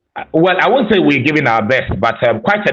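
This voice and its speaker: A man speaks with a strong Ghanaian accent. His pace is fairly quick. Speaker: school principal. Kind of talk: interview.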